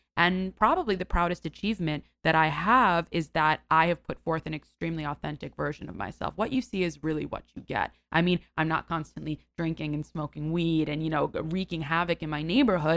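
A woman with an American accent talks at a fairly quick pace with hardly any pauses, using a plain, everyday voice at a fairly low pitch with ordinary pitch variation. The recording is very clean with a silent background and a dry, close sound with no echo. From New York City, Greenwich Village. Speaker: actress and content creator. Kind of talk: casual chat.

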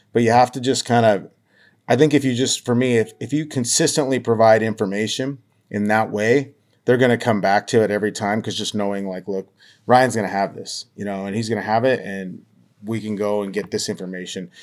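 A man with an American accent talks at a fairly quick pace in a normal speaking voice of medium pitch, with fairly even intonation. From Montana, US. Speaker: baseball beat reporter. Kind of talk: casual interview. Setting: remote call.

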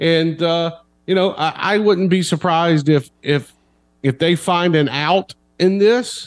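A man speaks in a normal speaking voice with a fairly high pitch. His intonation is lively. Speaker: sports columnist.

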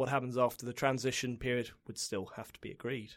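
A man with a British accent. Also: very clean recording, silent background. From UK. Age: 40s. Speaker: tax lawyer. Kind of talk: interview. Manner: halting.

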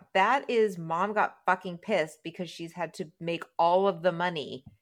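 A woman at medium pitch, a normal speaking voice, moderate pace, very clean recording with a silent background. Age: 50s. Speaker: podcast host. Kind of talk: casual chat.

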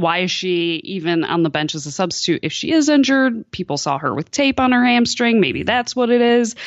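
A woman uses an ordinary speaking voice with lively intonation at a moderate pace. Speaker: soccer journalist. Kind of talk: interview about soccer. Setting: remote call from France.

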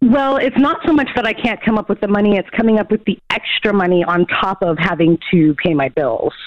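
A woman's fairly quick speech with hardly any pauses, very wide pitch swings, and noticeable background noise. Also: medium pitch for a woman. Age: 40s. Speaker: caller. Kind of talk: call-in radio conversation.

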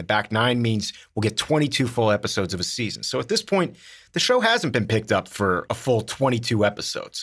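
The delivery is very fast with lively intonation, on a very clean recording with a silent background. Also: man. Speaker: actor and podcast co-host. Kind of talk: casual chat. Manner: loud; animated.

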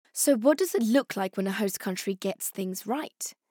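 The voice has a dark, mellow tone, a British accent and ordinary pitch variation at a moderate pace. The recording is very clean with a silent background and sounds dry and close, with no echo. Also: woman. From Afghanistan and Pakistan (Peshawar), then UK. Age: 30s. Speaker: podcast host and journalist. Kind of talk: scripted narration with interviews.

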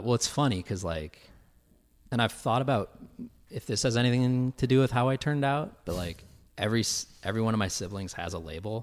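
On a very clean recording with a silent background, a man in an ordinary speaking voice talks at medium pitch and a fairly quick pace with lively intonation. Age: 20s. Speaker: social media personality. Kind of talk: casual chat.

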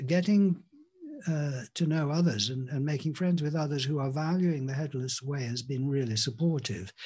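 This man speaks with an English accent in a fairly high, somewhat breathy voice. His tone is dark and mellow, with ordinary pitch variation. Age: 60s. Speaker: spiritual teacher. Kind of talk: casual interview. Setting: video call.

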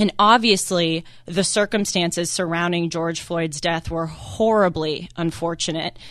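A woman with an unremarkable speaking voice and a fairly low pitch talks at a fairly slow pace with fairly even intonation and hardly any pauses. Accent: American. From US West Coast, Los Angeles. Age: 20s. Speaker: guest radio host, college student. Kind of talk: talk radio monologue.

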